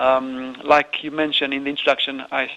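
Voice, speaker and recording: Over noticeable background noise, a man talks at a fairly high pitch. His intonation is monotone and flat. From raised in Nigeria, Sri Lanka and the Seychelles. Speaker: author and online entrepreneur. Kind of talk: radio interview.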